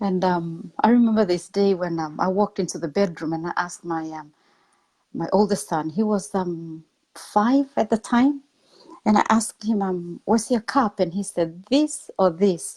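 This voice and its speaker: A woman with a dark, mellow tone speaks at a moderate pace in a very clean recording with a silent background. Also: medium pitch for a woman, ordinary pitch variation. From Papua New Guinea. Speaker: motivational speaker. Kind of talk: interview testimony.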